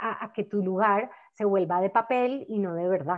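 At a moderate pace, the voice shows ordinary pitch variation against a quiet background. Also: woman. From Colombia, Cali (Valle del Cauca); Colombia. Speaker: novelist. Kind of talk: conversation. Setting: video call. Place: home room. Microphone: earbuds.

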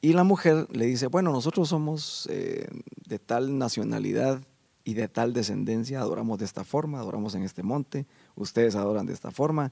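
Against a quiet background, a man speaks at a fairly quick pace with a dark, mellow tone and lively intonation. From Guatemala. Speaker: guest worship leader. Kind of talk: interview. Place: studio. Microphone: handheld.

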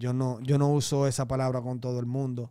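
In a Dominican accent, a man speaks at medium pitch with a dark, mellow tone and monotone, flat intonation, at a moderate pace over a quiet background. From Dominican Republic, raised in Santo Domingo. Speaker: reggaeton artist; interview guest. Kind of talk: casual interview. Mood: calm, reflective. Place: studio. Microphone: studio mic.

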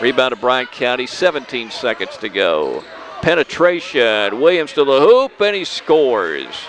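A man's upbeat voice at a very slow pace over light background noise. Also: dry sound with no echo. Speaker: local sports radio announcer. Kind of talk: live radio basketball play-by-play commentary. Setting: gym, broadcast at a basketball game. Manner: stays upbeat and chatty, adds background on players between plays. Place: hall.

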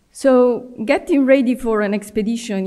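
An unremarkable speaking voice moves at a fairly slow pace with ordinary pitch variation over a quiet background. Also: woman. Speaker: workshop presenter. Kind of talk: academic lecture. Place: hall. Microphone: podium.

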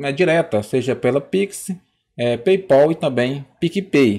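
A man is speaking. His intonation is lively. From Brazil. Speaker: YouTuber, political commentator. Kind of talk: casual vlog intro. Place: home room. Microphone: studio mic.

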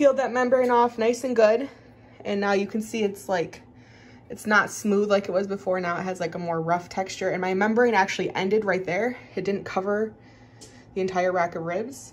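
Ordinary pitch variation shapes this woman's speech. She keeps a moderate pace. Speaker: home cook vlogger. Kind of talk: casual cooking tutorial. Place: kitchen. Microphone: phone near.

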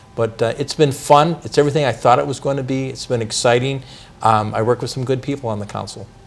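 With music playing behind him, a man speaks very fast at a medium pitch and fairly even intonation. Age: 60s. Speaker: city council member. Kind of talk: interview.

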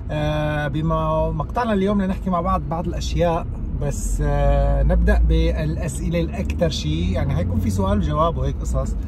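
Over noticeable background noise, a man talks at a moderate pace with hardly any pauses. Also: dry sound with no echo. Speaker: youtuber. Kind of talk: casual vlog chat. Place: car. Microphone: phone near.

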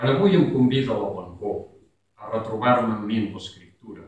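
A man talks at a fairly slow pace. Strong room echo surrounds his voice. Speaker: poet. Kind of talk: poetry reading. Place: stage. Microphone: camera far.

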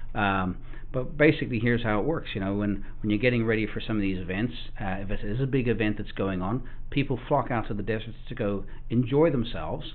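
A very fast-paced man's voice, its pitch varying in an ordinary way. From South Africa. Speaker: off-road vehicle shop owner. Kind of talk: casual interview. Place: studio.

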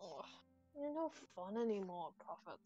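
A female-sounding, put-on character voice whines at a moderate pace and middle pitch. Faint music plays in the background. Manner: annoying, bitchy, whiny.

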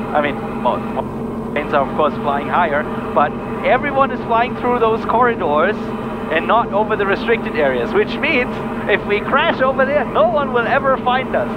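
Against loud background noise, a man speaks at a moderate pace with long, frequent pauses in a dry sound with no echo. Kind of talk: casual cockpit chat. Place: plane. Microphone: headset.

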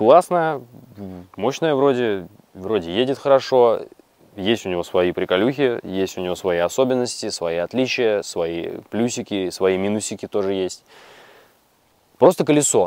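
Lively in intonation, a man speaks with long, frequent pauses in a dry sound with no echo. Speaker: electric unicycle rider reviewer. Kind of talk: casual review talk. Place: forest. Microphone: lapel.

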